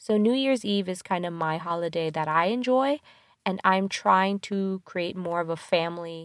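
Lively intonation and an animated tone from a woman with a medium pitch. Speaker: podcast host. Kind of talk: casual movie review chat. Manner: laughs often, animated.

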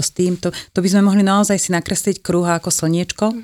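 An unremarkable speaking voice from a woman, medium in pitch with fairly even intonation, at a fairly quick pace, in a dry, close, very clean recording with a silent background. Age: 50s. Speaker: nutrition therapist. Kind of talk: interview.

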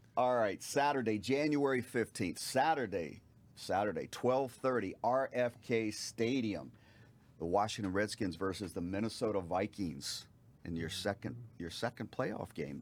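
A man speaks in an unremarkable speaking voice at a fairly low pitch. The recording is very clean, with a silent background. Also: lively intonation. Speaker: radio show co-host. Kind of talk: casual sports talk chat.

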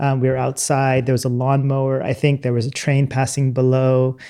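Against a quiet background, a man with an ordinary speaking voice talks at a fairly quick pace. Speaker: podcast host and journalist. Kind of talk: panel discussion. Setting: video call.

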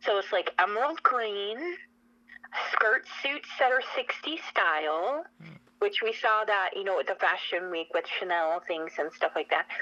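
With an American accent, a woman speaks at a fairly slow pace, her pitch swinging very widely, against noticeable background noise. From US Pacific Northwest, Spokane, Washington. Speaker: fashion commentator and magazine publisher. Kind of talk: radio interview. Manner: animated.

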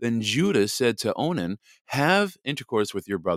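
Here is an unforced reading voice. The background is quiet.

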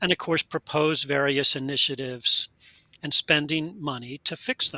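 Fairly high-pitched male voice, bright and sharp in tone, at a moderate pace. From US Mid-Atlantic (Delaware, Pennsylvania). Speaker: education professor and researcher. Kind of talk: interview.

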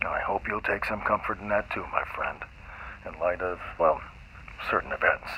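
With noticeable background noise, a man talks at a moderate pace, leaving long, frequent pauses. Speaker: scientist character interviewed. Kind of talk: scripted fiction audio drama, interview scene. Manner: formal, measured, authoritative, cryptic.

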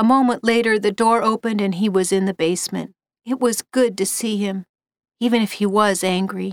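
Plain reading aloud with fairly even intonation comes through against a quiet background.

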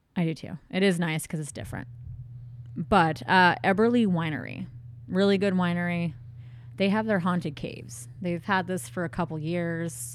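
Using a normal speaking voice, a woman with a fairly low pitch talks at a moderate pace with lively intonation. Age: 30s. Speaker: podcast co-host. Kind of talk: casual chat.

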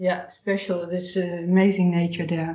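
Speaking fairly slowly in a Dutch accent, a woman has a medium-pitched, somewhat breathy voice. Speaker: podcast host and therapist. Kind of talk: interview conversation.

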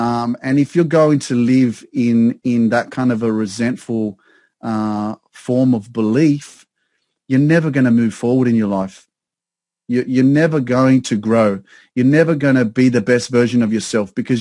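This man has an Australian accent and a dark, mellow tone at medium pitch. He speaks at a moderate pace with fairly even intonation against a quiet background. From Sydney, Australia. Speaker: success coach. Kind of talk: casual chat. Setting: video call.

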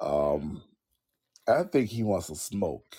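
The speaker is a man. He lets his pitch range very widely from high to low. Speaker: pro wrestler, tag team champion. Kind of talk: casual interview, wrestling talk.

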